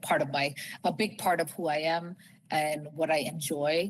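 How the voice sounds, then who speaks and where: With an American accent, the speaker moves at a fairly slow pace. The intonation stays monotone and flat. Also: woman. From United States. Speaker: fertility clinic executive. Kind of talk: webinar talk. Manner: casual, with frequent fillers.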